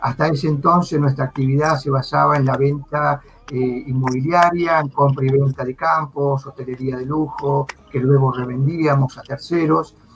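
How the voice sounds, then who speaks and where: Noticeable background noise sits behind the speech. A man talks at a fairly high pitch. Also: fairly even intonation, moderate pace. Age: 50s. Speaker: virtual trade fair organizer. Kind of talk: live video interview.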